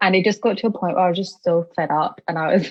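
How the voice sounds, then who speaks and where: Speaking very fast with a British accent, a woman uses a fairly low pitch and ordinary pitch variation. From UK. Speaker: chronic illness advocate, charity founder. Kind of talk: casual interview chat.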